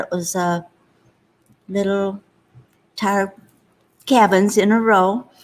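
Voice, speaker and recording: Here a woman speaks in a Michigan accent. Her pitch is medium. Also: very clean recording, silent background. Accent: Upper Midwest US (Michigan). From Upper Peninsula of Michigan. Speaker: host's mother, interview guest. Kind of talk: casual interview, life story. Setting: seated at host's laptop.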